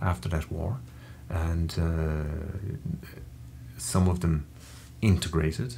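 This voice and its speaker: A somewhat breathy voice with an Irish accent, at a fairly slow pace and with ordinary pitch variation. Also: man. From Ireland. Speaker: interview guest, Irish emigrant. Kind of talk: interview conversation. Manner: hesitant, many fillers.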